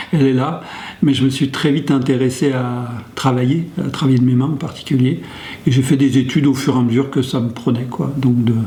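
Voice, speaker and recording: A man talks fairly quickly at medium pitch with fairly even intonation. Noticeable background noise and audible room echo are present. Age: 60s. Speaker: sociologist working on domestic violence, men's group facilitator. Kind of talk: interview testimony. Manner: hesitant, many fillers.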